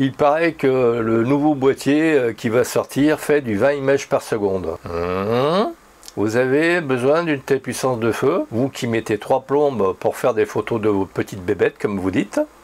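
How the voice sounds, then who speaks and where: An unremarkable speaking voice from a man, medium in pitch, with lively intonation and a fairly slow pace. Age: 60s. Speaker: photography YouTuber. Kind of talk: opinion monologue with imagined dialogue. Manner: conversational, ironic.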